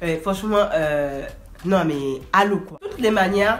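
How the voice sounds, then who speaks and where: A woman with a fairly low pitch and ordinary pitch variation speaks at a moderate pace amid noticeable background noise and audible room echo. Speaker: vlogger. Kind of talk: storytime. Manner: animated.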